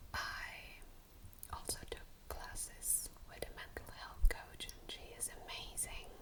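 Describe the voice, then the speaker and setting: Whispering very slowly in a soothing tone, a woman is heard over noticeable background noise. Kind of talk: ASMR whispered chit chat. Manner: whispered, soothing.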